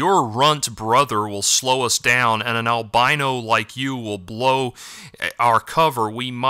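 The reading voice is natural, and its intonation stays fairly even.

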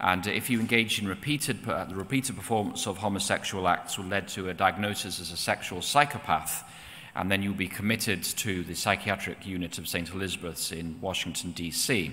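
The man's voice is very deep and low, with ordinary pitch variation. He talks at a fairly quick pace. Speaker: presenter. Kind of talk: lecture. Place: church. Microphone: podium.

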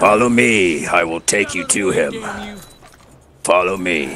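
A man's raspy, put-on character voice, fairly low in pitch and at a fairly slow pace. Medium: game stream. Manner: calm, drawling, patient.

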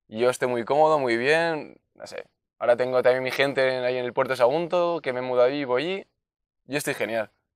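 Over a quiet background, the voice moves at a very fast pace with ordinary pitch variation and big swings in loudness, in a dry sound with no echo. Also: man, medium pitch for a man. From Spain, Valencia region (Enguera); Valencia region, Spain. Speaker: basketball player and youth coach; interviewee. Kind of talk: interview. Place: open country. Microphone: lapel.

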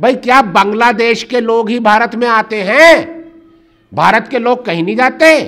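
A man's extremely high voice with a bright, sharp tone, at a fairly slow pace with ordinary pitch variation against a quiet background. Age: 50s. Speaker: human rights activist; speaker. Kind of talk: public talk. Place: hall.

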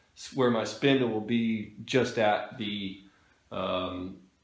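A man with a fairly low pitch talks amid audible room echo. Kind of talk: tutorial. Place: workshop.

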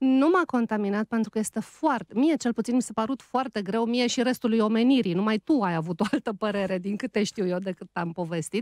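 Against a quiet background, a woman with an unremarkable speaking voice and fairly high pitch talks at a fairly quick pace with hardly any pauses, the sound dry with no echo. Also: ordinary pitch variation. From Romania, outside Bucharest. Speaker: radio host and writer; radio host. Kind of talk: casual chat. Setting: studio. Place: studio. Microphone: studio mic.

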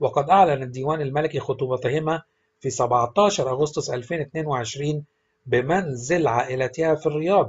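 This man has an Egyptian accent and a fairly high, somewhat breathy voice. He talks at a moderate pace with ordinary pitch variation. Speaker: celebrity news narrator. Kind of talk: celebrity news narration.

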